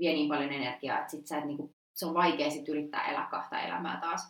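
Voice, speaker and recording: The woman's pitch is very deep and low. She keeps a fairly quick pace. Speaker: history student, former exchange student. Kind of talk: casual chat. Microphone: poor sound quality.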